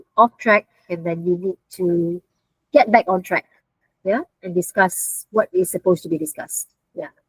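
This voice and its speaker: In a plain, everyday voice, a woman speaks at a fairly low pitch and fairly slow pace with fairly even intonation, in a dry, close sound with no echo. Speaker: university lecturer. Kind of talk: online lecture. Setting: video call.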